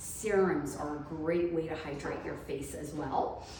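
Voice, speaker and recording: Speaking at a fairly slow pace, a woman with a fairly low pitch and ordinary pitch variation is heard amid noticeable background noise and audible room echo. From Trinidad. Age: 40s. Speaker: fitness business owner. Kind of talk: interview.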